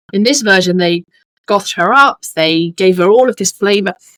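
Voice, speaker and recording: Bright and sharp in tone, a woman with a British accent speaks at a moderate pace and medium pitch. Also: dry, close sound with no echo. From United Kingdom. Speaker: holistic business coach. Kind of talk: podcast interview.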